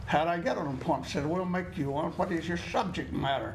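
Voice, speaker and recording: A man with a fairly high pitch speaks in a room with audible echo. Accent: American. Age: 80s+. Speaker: landowner. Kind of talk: testimony. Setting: studio. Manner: halting.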